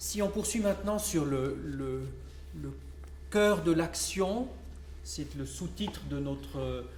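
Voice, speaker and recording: Against noticeable background noise, the speech moves very slowly, broken by long, frequent pauses. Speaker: round table moderator. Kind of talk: panel moderation. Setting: public round table conference. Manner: stammering, repeats words.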